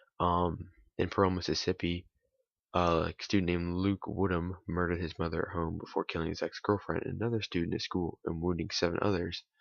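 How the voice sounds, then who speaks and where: In a dry, close sound with no echo, a man with a very deep, low voice speaks quietly at a fairly quick pace with monotone, flat intonation. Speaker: YouTuber. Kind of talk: casual vlog monologue, partly reading from notes. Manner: quiet, held-back delivery; hesitant with many fillers.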